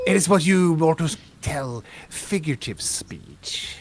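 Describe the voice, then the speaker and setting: The speaker uses a put-on character voice at a middle pitch. The pace is fairly slow. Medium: actual play. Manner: aloof, formal, condescending.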